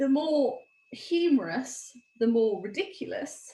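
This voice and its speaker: A woman's very slow speech with vocal fry. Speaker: former teacher, dyslexia presenter. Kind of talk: webinar presentation.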